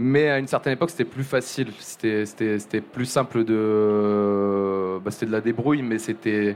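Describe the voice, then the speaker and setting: With hardly any pauses, a man speaks at a fairly slow pace in a fairly low pitch with ordinary pitch variation. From southern France, Montpellier. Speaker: music journalist. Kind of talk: live podcast interview. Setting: live venue with audience. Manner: halting, many fillers and repetitions.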